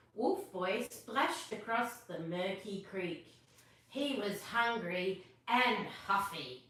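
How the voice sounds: The pitch moves in an ordinary way. It comes from a natural reading voice.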